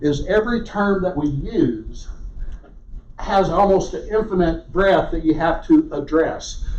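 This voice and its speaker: A man with a Southern US accent, high-pitched, lively intonation at a moderate pace, with audible room echo. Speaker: research geologist. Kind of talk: lecture.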